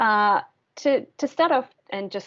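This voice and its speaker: With an Australian accent, a woman speaks using lively intonation. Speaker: course instructor. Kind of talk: online course presentation. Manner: hesitant, many ums.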